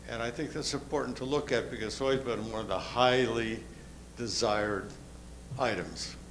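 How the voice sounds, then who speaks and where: With audible room echo in the recording, a man talks at a moderate pace in a medium pitch and fairly even intonation. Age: 80s+. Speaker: resident speaking at community meeting. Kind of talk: public comment at meeting.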